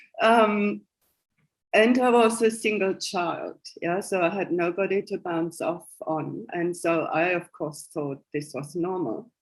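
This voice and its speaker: A woman with a German accent, medium in pitch, at a very slow pace. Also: ordinary pitch variation. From Germany (West Germany). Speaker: spiritual coach and psychic. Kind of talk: interview.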